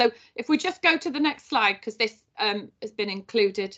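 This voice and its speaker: Over a quiet background, a woman talks at a fairly quick pace and a fairly high pitch. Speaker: safeguarding trainer. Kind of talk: online training presentation. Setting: online live event. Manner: fast.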